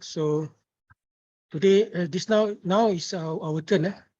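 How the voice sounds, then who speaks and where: A man with a Malaysian accent speaks in a high voice with a dark, mellow tone. His pitch varies in an ordinary way, and his pace is very slow. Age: young. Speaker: university lecturer and project supervisor. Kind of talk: online meeting. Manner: halting.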